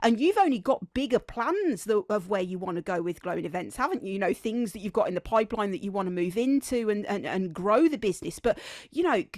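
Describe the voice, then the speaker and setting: A woman with a Birmingham accent talks at a very fast pace in a fairly high, animated tone. The very clean recording has a silent background and a dry, close sound with no echo. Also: lively intonation, hardly any pauses. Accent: Birmingham (Brummie), noticeable. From Birmingham, England. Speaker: podcast host. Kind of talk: casual interview chat. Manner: repeats and stumbles on words.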